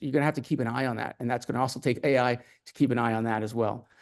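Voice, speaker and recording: The setting behind him is quiet. This man's voice rests at a mid-range pitch. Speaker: industry expert panelist. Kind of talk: panel presentation. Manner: fast.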